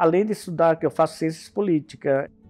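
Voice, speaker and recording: High pitch and fairly even intonation in a man's voice. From Bahia, Brazilian Northeast (grew up to 13). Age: 50s. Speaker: cultural events producer, migrant. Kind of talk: documentary interview. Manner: halting, with many fillers and restarts.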